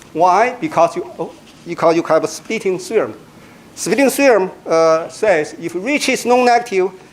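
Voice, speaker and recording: Over noticeable background noise, a man speaks at a moderate pace. His high voice has lively intonation. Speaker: mathematics researcher giving a talk. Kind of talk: lecture. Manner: halting, many fillers.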